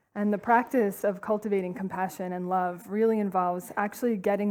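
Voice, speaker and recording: A woman with an East Coast American accent speaks in a medium pitch. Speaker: compassion trainer, nonprofit co-founder. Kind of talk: conference talk. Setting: stage with audience. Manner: fast.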